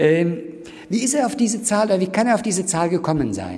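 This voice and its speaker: Lively intonation marks this man's speech, with audible room echo and noticeable background noise. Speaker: professor. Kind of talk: lecture. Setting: university lecture hall with audience.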